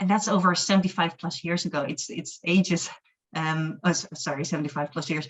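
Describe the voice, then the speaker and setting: Somewhat breathy, a woman speaks at a fairly quick pace, her fairly low pitch carrying fairly even intonation. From Netherlands. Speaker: humanist chaplain. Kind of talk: webinar talk.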